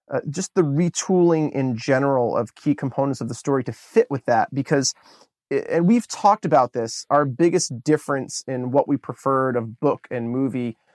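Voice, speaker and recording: Heard in a very clean recording with a silent background, a man has an unremarkable speaking voice at a fairly high pitch with ordinary pitch variation. He talks at a moderate pace in a dry, close sound with no echo. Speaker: podcast host. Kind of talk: casual chat.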